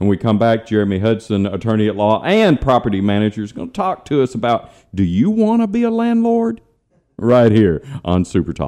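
A man's dark, mellow tone comes through over a quiet background. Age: 50s. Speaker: radio host and financial planner. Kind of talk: radio talk show chat. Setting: radio studio. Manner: conversational, storytelling.

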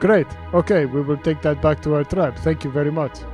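A man puts on a squeaky character voice at a fairly high pitch. He talks at a fairly quick pace, with clear music in the background. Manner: chatty, casual, rambling.

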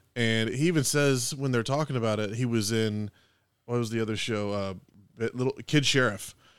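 Here a man uses a normal speaking voice at a medium pitch and a moderate pace, with ordinary pitch variation. The recording is very clean, with a silent background. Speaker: podcast host. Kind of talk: casual banter, movie discussion. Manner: joking, bantering.

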